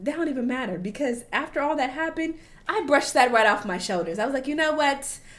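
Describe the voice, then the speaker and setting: There is noticeable background noise. A woman speaks in an animated tone. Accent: American. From United States. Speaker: travel vlogger. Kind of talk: casual vlog commentary.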